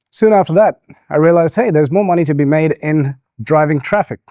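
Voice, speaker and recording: A man with an Australian accent, fairly high in pitch, at a fairly quick pace, with a dry, close sound and no echo. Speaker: entrepreneur. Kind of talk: keynote speech. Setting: stage with audience. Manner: soft-spoken.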